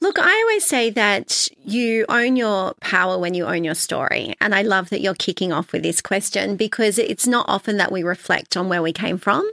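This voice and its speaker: A woman speaks with an Australian accent. The sound is dry and close with no echo. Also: moderate pace. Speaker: founder and author. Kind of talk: casual interview chat.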